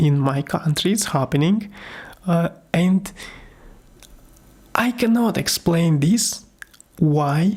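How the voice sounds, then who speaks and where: Somewhat breathy and with a non-native accent, a woman talks at a very slow pace with long, frequent pauses and very even loudness. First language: not English. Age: 40s. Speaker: YouTuber reviewing gear, amateur voice-over artist. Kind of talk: casual vlog monologue. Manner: halting, many fillers.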